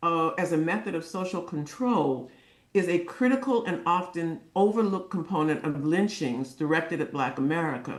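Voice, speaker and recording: In a plain, everyday voice, a woman talks at a moderate pace with lively intonation. Her pitch sits fairly low. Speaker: clinical psychologist. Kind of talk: testimony.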